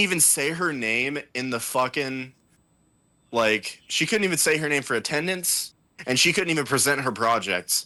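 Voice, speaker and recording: A man speaks loudly at a fairly slow pace, his pitch fairly high and his intonation lively. His tone is bright and sharp. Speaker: podcast co-host. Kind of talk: casual chat.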